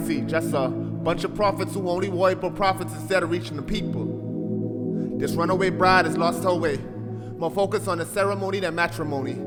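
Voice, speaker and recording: Music sounds in the background. Over it, a man talks at a fairly quick pace. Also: hardly any pauses. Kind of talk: spoken word poetry performance.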